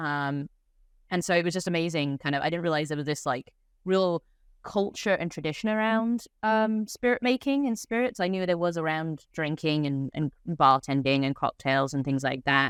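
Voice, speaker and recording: This woman's pitch is very deep and low, and her intonation is lively at a moderate pace. The background is quiet, and the sound is dry and close with no echo. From England. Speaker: head distiller. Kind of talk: interview.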